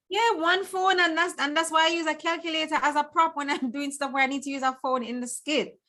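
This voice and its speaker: Raised, projected female voice, high-pitched and bright, sharp in tone, with a Jamaican accent at a very fast pace and hardly any pauses. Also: ordinary pitch variation. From Jamaica, Clarendon parish. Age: 40s. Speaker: content creator, guest. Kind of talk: casual chat.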